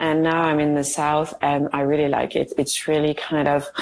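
A woman speaks in a French accent at a very deep, low pitch. Her intonation is monotone and flat, and her pace is moderate. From France. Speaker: guest with chronic illness. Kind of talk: casual interview chat. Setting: video call from India.

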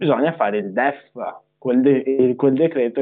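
Fairly slow and fairly high-pitched, a man speaks in an unremarkable speaking voice with ordinary pitch variation. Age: young. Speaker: young politician. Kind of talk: live-stream interview.

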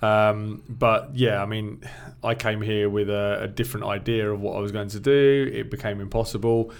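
A man has an unremarkable speaking voice with a fairly low pitch. He talks at a moderate pace with fairly even intonation. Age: 40s. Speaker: teacher. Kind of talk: casual chat.

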